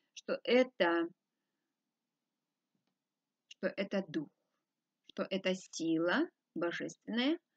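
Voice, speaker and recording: A woman against a quiet background. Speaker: spiritual teacher. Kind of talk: lecture. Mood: calm, earnest. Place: home room. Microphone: webcam.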